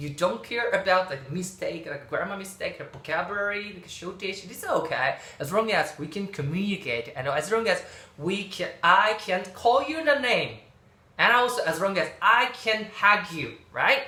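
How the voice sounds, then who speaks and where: A man with a high pitch speaks in a raised, projected voice at a moderate pace, his intonation lively and his loudness swinging widely, with audible room echo and noticeable background noise. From Okinawa, Japan. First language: Japanese. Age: middle-aged. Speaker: YouTuber. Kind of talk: casual vlog talk. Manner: halting, many fillers.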